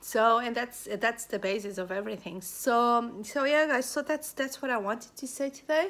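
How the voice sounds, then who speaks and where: A high-pitched woman at a moderate pace, ordinary pitch variation, hardly any pauses. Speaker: life coach / spiritual vlogger. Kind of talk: casual vlog monologue. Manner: animated.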